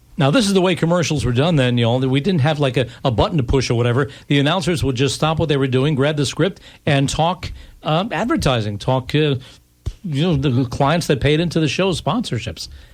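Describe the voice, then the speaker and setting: A man's somewhat breathy, fairly high voice with ordinary pitch variation at a fairly quick pace. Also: very even loudness. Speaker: radio host. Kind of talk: live radio interview.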